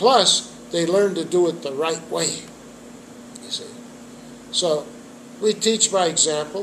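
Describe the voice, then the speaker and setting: A man's high-pitched voice with ordinary pitch variation, fairly slow and broken by long, frequent pauses, over noticeable background noise. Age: 70s. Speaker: trumpet teacher and jazz musician. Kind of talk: interview.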